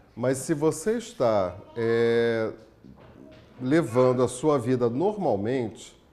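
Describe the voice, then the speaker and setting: Over music in the background with audible room echo, a man of medium pitch speaks at a very slow pace with lively intonation and very even loudness. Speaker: spiritist lecturer. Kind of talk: lecture.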